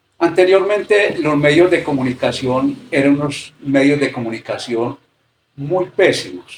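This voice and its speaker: A man with a fairly high pitch and lively intonation talks at a fairly slow pace, sounding somewhat breathy. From rural area. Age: 60s. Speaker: interviewee. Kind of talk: interview.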